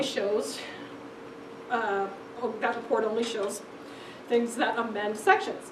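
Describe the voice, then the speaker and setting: A woman speaks at a moderate pace with a high pitch. The room echo is audible, and there is noticeable background noise. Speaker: law librarian presenting a legal research class. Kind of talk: lecture.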